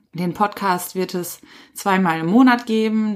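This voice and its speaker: A woman with an unremarkable speaking voice talks at a moderate pace, her medium pitch moving in a fairly even intonation, on a very clean recording with a silent background. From Ruhr area, Germany. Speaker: podcast host, trainee animal physiotherapist. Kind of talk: solo educational podcast.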